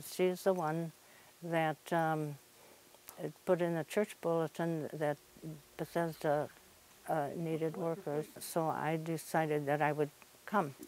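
Very slowly, a woman with a very deep, low pitch speaks in a monotone, flat intonation, with long, frequent pauses. The sound is dry with no echo, and light background noise is present. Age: 90s. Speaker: thrift shop volunteer. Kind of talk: interview answer. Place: shop. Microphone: lapel.

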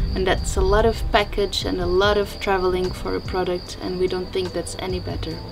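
A woman talks over noticeable background noise. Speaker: homestead project vlogger. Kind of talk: casual vlog chat. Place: kitchen.

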